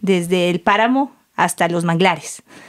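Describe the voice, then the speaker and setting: This is a woman speaking. Her pitch sits in the medium range. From southern Ecuador, El Oro province (Santa Rosa). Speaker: cacao farmer and ceremonial chocolate maker. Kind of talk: casual interview conversation.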